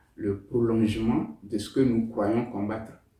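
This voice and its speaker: Somewhat breathy and dark, mellow in tone, this voice moves at a fairly slow pace with fairly even intonation in audible room echo. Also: man. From Togo. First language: Tem (speaking French). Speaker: novelist. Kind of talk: interview. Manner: hesitant, with fillers.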